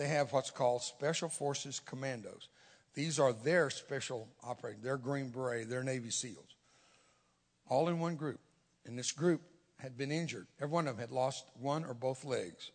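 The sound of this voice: A man talks at a moderate pace and a medium pitch, with ordinary pitch variation.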